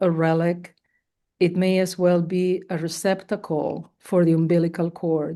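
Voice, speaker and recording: A woman's fairly low, dark and mellow voice with a Spanish accent, at a fairly slow pace against a quiet background. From Spain. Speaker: poet. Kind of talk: poetry reading. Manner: halting.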